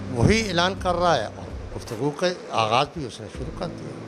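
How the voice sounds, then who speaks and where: A fairly high-pitched male voice at a fairly slow pace, very wide pitch swings, noticeable background noise. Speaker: veteran political party member. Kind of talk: interview.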